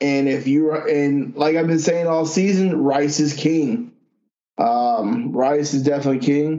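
This man has an ordinary speaking voice with a fairly high pitch and ordinary pitch variation. He keeps a fairly slow pace and very even loudness. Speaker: podcast host, duck hunter. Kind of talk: casual chat.

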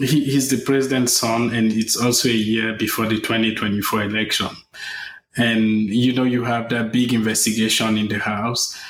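Monotone, flat intonation and very even loudness come through with audible room echo. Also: man, medium pitch for a man, moderate pace. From Africa. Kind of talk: news interview.

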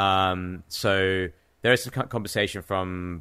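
A man's very deep, low voice with a bright, sharp tone, an English accent and fairly even intonation, on a very clean recording with a silent background. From England (Cambridge). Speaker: professional trader and artist. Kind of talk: casual interview.

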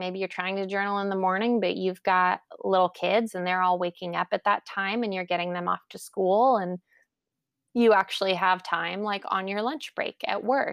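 A woman with an ordinary speaking voice talks at a medium pitch and moderate pace with fairly even intonation. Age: 30s. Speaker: journaling enthusiast interviewee. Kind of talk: casual interview.

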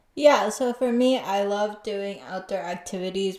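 Over noticeable background noise, a woman with an American accent speaks at a fairly slow pace and medium pitch with fairly even intonation. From US. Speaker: podcast host. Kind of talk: casual chat, podcast intro.

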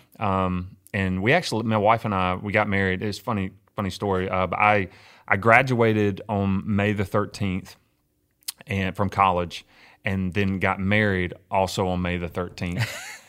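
At a moderate pace, a man with a Mississippi accent speaks in a flat monotone at a fairly low pitch. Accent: Mississippi Southern US. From US South, Mississippi hill country. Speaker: pastor. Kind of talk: casual interview. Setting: room next to his church office.

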